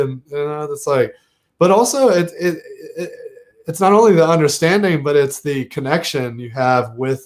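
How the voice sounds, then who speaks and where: Here a man speaks with a slight Southern US accent. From US South, Southern Virginia. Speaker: podcast host. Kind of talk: casual interview chat.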